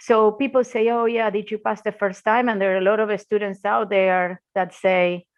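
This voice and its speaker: A woman with an Argentine accent speaks fairly slowly. Her medium-pitched voice has ordinary pitch variation. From Argentina. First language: Spanish. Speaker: intellectual property lawyer, law firm founder. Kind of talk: podcast interview.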